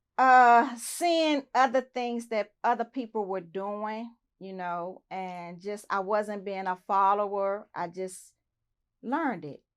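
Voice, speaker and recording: A woman's medium-pitched voice with an American accent, very slow pace, big swings in loudness and ordinary pitch variation, on a very clean recording with a silent background. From Southeast Washington DC. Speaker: interview guest. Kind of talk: interview.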